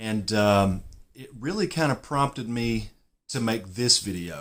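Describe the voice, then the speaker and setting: A man with a Southern US accent, medium pitch, lively intonation, big swings in loudness and a fairly slow pace, on a very clean recording with a silent background. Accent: southern US drawl. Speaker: golf YouTuber. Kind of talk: casual vlog, partly reading his own written reply aloud. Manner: reading aloud from typed text; hesitant, with fillers.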